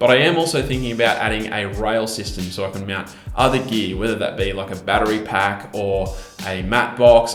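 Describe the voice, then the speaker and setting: With an Australian accent, a man talks fairly quickly at a medium pitch with ordinary pitch variation, with audible room echo and music in the background. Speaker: YouTube filmmaker. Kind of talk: Q&A tech vlog.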